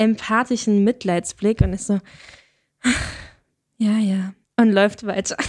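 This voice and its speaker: In a dry, close recording with no echo, a woman speaks at a fairly slow pace with a fairly high pitch and fairly even intonation. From Hesse, Germany. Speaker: student filmmaker and podcast co-host. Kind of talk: casual chat.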